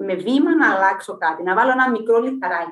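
A high-pitched woman's voice with lively intonation. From Cyprus. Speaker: physicist and university lecturer. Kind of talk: casual interview.

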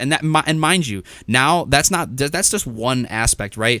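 A man's bright, sharp voice with an enthusiastic tone. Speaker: podcast host and Amazon seller. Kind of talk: solo podcast monologue, motivational. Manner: fast talker; casual, enthusiastic.

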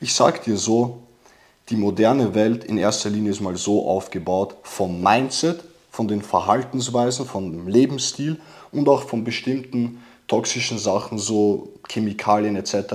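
A man's ordinary speaking voice, fairly low in pitch with ordinary pitch variation. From immigrant background. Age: 20s. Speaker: testosterone course seller. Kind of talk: casual chat.

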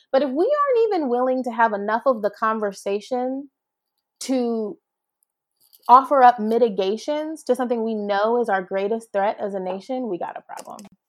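Against a quiet background, a woman with an ordinary speaking voice talks at a moderate pace in a fairly high pitch, with ordinary pitch variation and big swings in loudness. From US, Jamaican immigrant family. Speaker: attorney, national security expert. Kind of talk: podcast interview.

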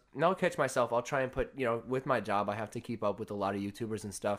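Recorded very cleanly against a silent background, a man speaks at a medium pitch and a very fast pace. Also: hardly any pauses. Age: 20s. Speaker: clothing brand owner. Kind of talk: casual chat. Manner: casual, filler-heavy.

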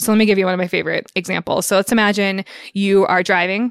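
A woman with an American accent and an ordinary speaking voice talks at a fairly quick pace and a medium pitch, her intonation fairly even and the sound dry and close with no echo. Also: very clean recording, silent background. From Northern California, early childhood in Michigan. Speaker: psychology professor, emotion researcher. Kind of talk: interview about research.

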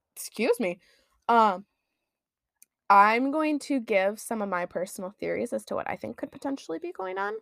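Long, frequent pauses break up speech in a strong Midwestern accent, recorded very cleanly with a silent background and a dry, close sound with no echo. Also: woman, fairly high pitch for a woman, lively intonation, moderate pace. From US Midwest. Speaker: podcast co-host. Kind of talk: casual chat.

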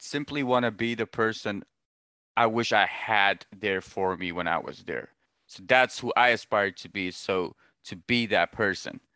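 In a dry, close recording with no echo, a man with a medium pitch and a bright, sharp tone speaks at a fairly slow pace. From Pakistan. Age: 30s. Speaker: motivational speaker. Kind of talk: casual interview.

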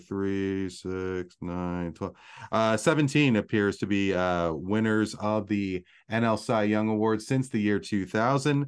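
A man speaks in a plain, everyday voice with a fairly low pitch. His pitch variation is ordinary, and the background is quiet. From Canada. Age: 40s. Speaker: podcast host. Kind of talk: trivia quiz hosting; casual chat. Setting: live audio stream.

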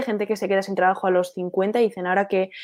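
A woman is talking. She has a dark, mellow tone. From Spain, Basque Country (Bilbao). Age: 20s. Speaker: young entrepreneur, marketing agency founder. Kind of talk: casual interview. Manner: halting, many fillers and repetitions.

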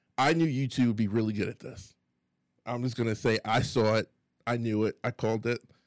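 At a fairly quick pace, a man with an unremarkable speaking voice talks at medium pitch with fairly even intonation, the sound dry and close with no echo. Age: 30s. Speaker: community podcast co-host. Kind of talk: casual chat.

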